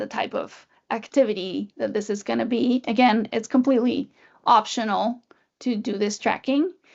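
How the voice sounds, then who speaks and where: This woman's voice sits high in pitch, with a slight Spanish accent. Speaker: music education trainer, former orchestra teacher. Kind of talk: webinar tutorial.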